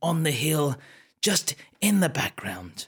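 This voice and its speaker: In a British accent, a man speaks at a moderate pace. His tone is playful. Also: very clean recording, silent background. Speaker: improvising storyteller, entertainer. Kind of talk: improvised comic documentary-horror narration, mock-serious. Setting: live stream to Facebook audience. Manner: playful, rambling, with stumbles.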